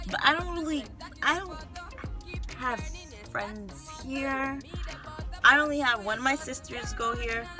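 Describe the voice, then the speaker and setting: A woman speaks at a high pitch. Clear music plays in the background. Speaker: college student vlogger. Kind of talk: casual vlog chat. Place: car.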